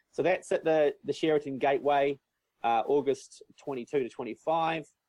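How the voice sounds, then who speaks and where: A man with a New Zealand accent speaks at a fairly high pitch with ordinary pitch variation. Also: dry, close sound with no echo. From New Zealand, North Island. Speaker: business coach and event organizer. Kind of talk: interview.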